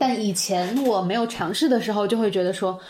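A woman with an unremarkable speaking voice talks at a moderate pace and medium pitch. Her intonation is lively, and the recording is very clean with a silent background. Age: middle-aged. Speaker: personal growth coach and content creator. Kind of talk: casual interview.

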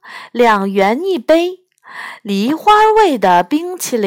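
An unforced reading voice carries the clip. The background is quiet.

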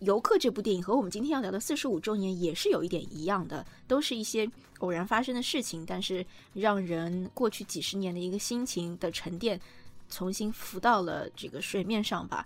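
A woman's fairly quick speech runs over background music. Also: medium pitch for a woman, ordinary pitch variation. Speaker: podcast host, journalist and film writer. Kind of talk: casual chat about films.

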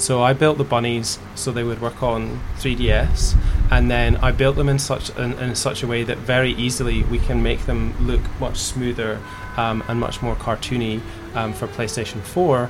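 Music plays in the background and audible room echo surrounds a man speaking in a Scottish accent. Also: moderate pace. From Scotland. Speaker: video game developer and company founder. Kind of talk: interview.

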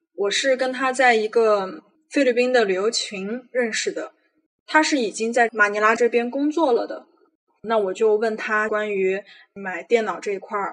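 An unremarkable speaking voice goes at a fairly slow pace with ordinary pitch variation. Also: woman. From Xinjiang, China. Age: 20s. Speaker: freelance writer telling her own story. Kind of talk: personal testimony.

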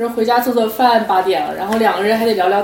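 A woman speaks at a fairly high pitch with ordinary pitch variation. Noticeable background noise and audible room echo fill the recording. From Beijing, China. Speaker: podcast co-host. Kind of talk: casual chat. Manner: loud.

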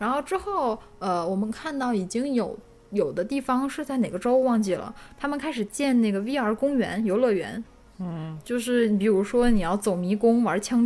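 Her intonation lively, a woman with an ordinary speaking voice speaks at a moderate pace. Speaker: podcast co-host. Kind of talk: casual chat. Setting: studio live stream.

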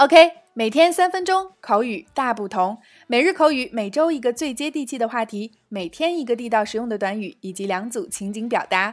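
On a very clean recording with a silent background, a woman with a high voice speaks at a moderate pace, hardly pausing and swinging very widely in pitch. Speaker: English teacher podcast host. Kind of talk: language lesson. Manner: clear and measured.

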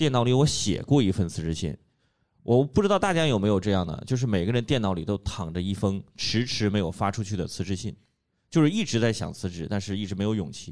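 In an ordinary speaking voice, the talk moves at a fairly quick pace with lively intonation in a very clean recording with a silent background. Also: man. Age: 30s. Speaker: podcast host and stand-up comedy club member. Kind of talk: casual chat.

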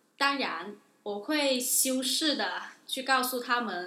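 A woman speaks with a high pitch and ordinary pitch variation. Noticeable background noise is present. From Guangdong, China. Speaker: international student. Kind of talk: interview. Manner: hesitant, many fillers.

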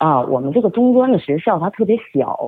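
Very wide pitch swings at a moderate pace, with a strong Liaoning accent. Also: woman. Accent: strong Jinzhou. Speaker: media and event producer. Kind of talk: storytelling interview.

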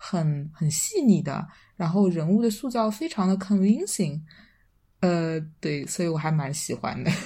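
A woman's fairly low voice, dark and mellow, somewhat breathy, with ordinary pitch variation at a fairly slow pace. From Shanghai. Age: 20s. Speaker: podcast guest. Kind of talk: casual chat.

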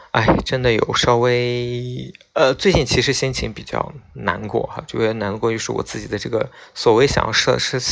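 The pace is moderate as a man talks. His intonation stays fairly even. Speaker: podcast host. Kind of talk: late-night solo radio-style monologue. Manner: casual, hesitant with many fillers.

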